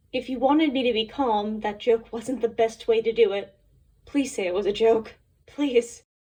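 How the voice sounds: What we hear is a natural reading voice.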